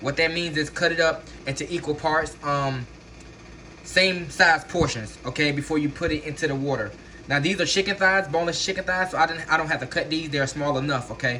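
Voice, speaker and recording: Male speech, ordinary in pitch variation, with noticeable background noise behind it. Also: fairly high pitch for a man, fairly quick pace. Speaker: home cook. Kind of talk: cooking tutorial. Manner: fast; casual, filler-heavy.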